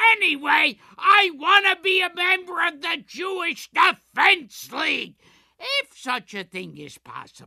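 This is a put-on character voice. It goes at a fairly slow pace. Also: man, extremely high pitch for a man. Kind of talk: improvised comic voice-over.

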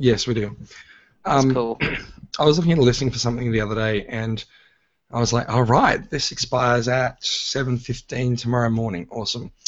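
A man speaks at medium pitch with an Australian accent. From Australia, Sydney. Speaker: podcast host. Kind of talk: casual chat. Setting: live stream recording.

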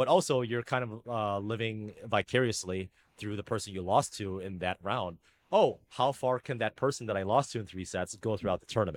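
In a normal speaking voice with ordinary pitch variation, the speaker goes at a fairly quick pace in a dry, close sound with no echo. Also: man, fairly low pitch for a man. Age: 30s. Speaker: tennis coach and software engineer. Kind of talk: casual chat. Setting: video call.

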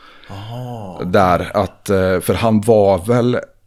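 Here is a man with a plain, everyday voice, a fairly low pitch, and fairly even intonation. The recording is very clean, with a silent background. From Sweden, Tidaholm area. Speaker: podcast host and personal trainer. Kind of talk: scripted intro monologue; casual chat.

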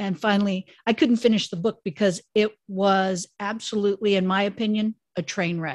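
A woman with a normal speaking voice talks at medium pitch and a moderate pace, with fairly even intonation. She hardly pauses, and the sound is dry and close with no echo. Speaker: podcast host. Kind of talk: casual interview chat.

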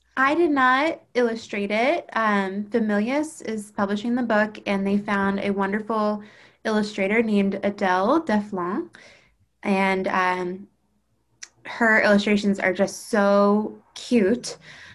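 In a very clean recording with a silent background, a woman with an unremarkable speaking voice talks at a fairly slow pace, medium in pitch with ordinary pitch variation. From Baltimore, Maryland, US. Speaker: children's book author. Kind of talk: casual interview. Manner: frequent laughter.

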